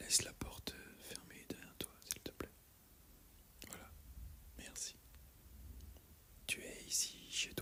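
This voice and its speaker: The speaker whispers at a very slow pace in a gentle tone. Noticeable background noise sits behind the voice. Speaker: herbalist (roleplay character). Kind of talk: ASMR roleplay, soothing guided talk. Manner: soft-spoken, slow, gentle.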